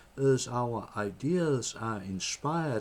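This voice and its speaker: A man speaks in a Danish accent at a medium pitch. He goes at a very slow pace with ordinary pitch variation. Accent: Danish accent, non-native English. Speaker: political party member. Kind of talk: reading aloud a letter. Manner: halting.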